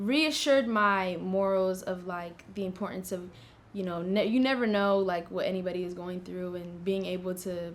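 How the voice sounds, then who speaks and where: With fairly even intonation, a woman speaks at a fairly quick pace amid audible room echo. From US West, Las Vegas, Nevada. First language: Tigrinya. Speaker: university student, scholarship applicant. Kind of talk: interview. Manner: casual, many fillers.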